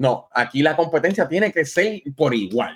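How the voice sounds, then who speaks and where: This man has a normal speaking voice, fairly high in pitch, and speaks at a fairly slow pace. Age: 40s. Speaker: gaming podcast guest. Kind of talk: casual chat.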